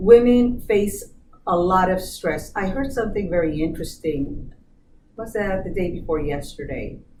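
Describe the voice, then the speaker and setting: Her voice sits at a medium pitch, and she speaks at a moderate pace with lively intonation. Audible room echo surrounds the woman. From born in US, Colombian family. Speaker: business diversity manager. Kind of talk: interview.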